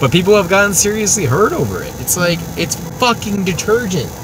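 A man's voice comes at a moderate speed. Noticeable noise sits in the background. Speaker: guest. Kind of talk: casual podcast chat. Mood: exasperated, ranting. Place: car.

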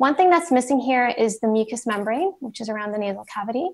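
The woman's speech moves at a fairly quick pace, and the background is quiet. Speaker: presenter. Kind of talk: lecture. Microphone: video call.

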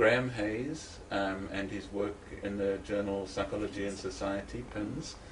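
Audible room echo and noticeable background noise accompany a man's speech. He talks at a fairly slow pace in a fairly low pitch with ordinary pitch variation. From South Africa, Eastern Cape. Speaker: psychology academic. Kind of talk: interview. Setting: at home.

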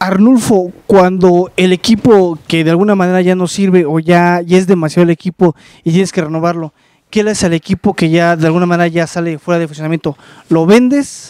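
This man's high voice has a dark, mellow tone and fairly even intonation at a fairly quick pace. The recording is dry with no echo, and the background is quiet. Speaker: YouTube channel host. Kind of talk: casual interview. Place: garage. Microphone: handheld.

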